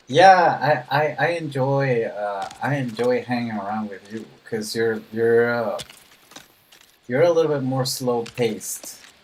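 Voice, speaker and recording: A man talks fairly slowly with ordinary pitch variation, and noticeable background noise can be heard. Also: medium pitch for a man. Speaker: gaming streamer. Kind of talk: live stream chat while gaming. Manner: slow, calm; soft-spoken.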